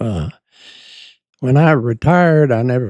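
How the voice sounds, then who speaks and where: Lively intonation marks this man's voice, which has a dark, mellow tone. The sound is dry and close with no echo, over a quiet background. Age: 90s. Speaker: war veteran. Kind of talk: interview. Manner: halting.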